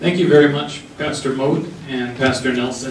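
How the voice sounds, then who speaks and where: With an American accent, a man speaks at a moderate pace and medium pitch in a monotone, flat intonation, with audible room echo and noticeable background noise. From Texas. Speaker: diversity consultant. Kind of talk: community forum talk.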